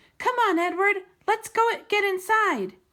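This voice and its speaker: In a put-on character voice, a woman sounds squeaky at an extremely high pitch, her voice raised and projected at a moderate pace. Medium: read story.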